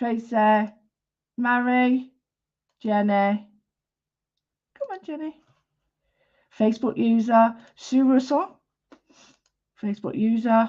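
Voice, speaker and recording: The speaker has a strong Manchester accent and talks at a very slow pace with long, frequent pauses. Pitch variation is ordinary, while loudness swings widely. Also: woman, fairly high pitch for a woman. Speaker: art teacher. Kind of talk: live-stream drawing tutorial. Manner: chatty, informal, with many fillers.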